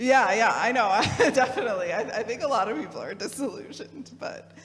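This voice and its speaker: A woman's fairly high voice at a fairly quick pace, with ordinary pitch variation, music in the background and audible room echo. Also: big swings in loudness. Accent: Midwestern. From Michigan. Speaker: theologian, youth program director. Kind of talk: talk with audience discussion.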